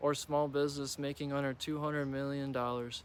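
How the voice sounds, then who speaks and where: A man with a fairly high pitch and an American accent. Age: 20s. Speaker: Republican precinct committeeperson. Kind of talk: political announcement read.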